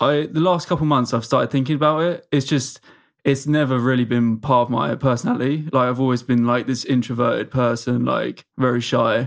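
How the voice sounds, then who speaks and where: The speaker has an English accent and a fairly quick pace. The intonation stays fairly even. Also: man, medium pitch for a man. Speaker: social media comedian. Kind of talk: casual chat.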